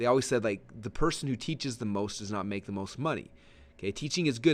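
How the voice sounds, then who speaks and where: Talking at a very fast pace, a man is heard. Behind him the background stays quiet. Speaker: online marketing trainer. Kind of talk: training webinar. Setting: webinar. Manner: many filler words.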